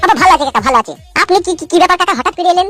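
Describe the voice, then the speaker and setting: Faint music plays behind a squeaky, put-on character voice that races along at a very fast pace. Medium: cartoon. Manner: rustic, coarse.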